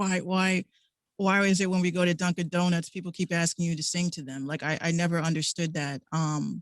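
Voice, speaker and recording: A woman with a fairly low pitch speaks at a fairly quick pace in a monotone, flat delivery, the sound dry and close with no echo. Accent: New York. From New York City, Bronx. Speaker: radio host and music artist. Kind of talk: interview. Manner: halting.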